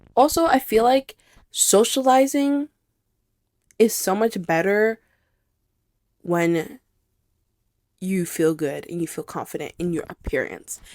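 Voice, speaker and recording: A woman with a medium pitch speaks at a fairly slow pace with very wide pitch swings and long, frequent pauses, in a very clean recording against a silent background. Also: dry, close sound with no echo. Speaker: podcast host. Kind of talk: casual personal monologue. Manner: loud when excited.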